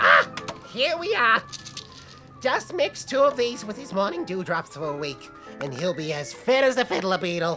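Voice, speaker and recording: With clear music in the background, a put-on character voice moves at a moderate pace from a middle pitch through very wide pitch swings. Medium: audio drama. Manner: warm, folksy.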